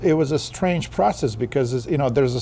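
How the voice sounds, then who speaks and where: There is noticeable background noise here. A man speaks through it at a very fast pace. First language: not English. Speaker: author and poet. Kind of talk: interview. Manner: halting, repeats words.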